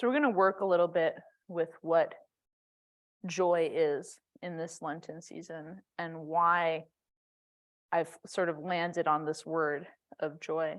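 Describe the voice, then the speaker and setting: Fairly low in pitch, a woman talks at a very slow pace with fairly even intonation and long, frequent pauses. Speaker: yoga and meditation teacher. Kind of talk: guided meditation. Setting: church sanctuary. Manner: loud; casual, conversational.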